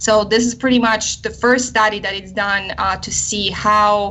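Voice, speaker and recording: Over noticeable background noise, a woman with a Polish accent speaks at a medium pitch, fairly slowly, with fairly even intonation. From Poland. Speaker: army psychologist and researcher. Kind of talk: radio interview. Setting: live online radio show.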